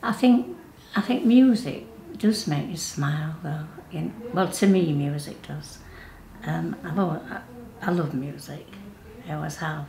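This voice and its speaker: With a Yorkshire accent, a woman speaks fairly slowly at a very deep, low pitch, leaving long, frequent pauses. Her pitch swings very widely and her loudness rises and falls sharply, with audible room echo around her. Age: 70s. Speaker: workshop participant. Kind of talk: interview. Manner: halting.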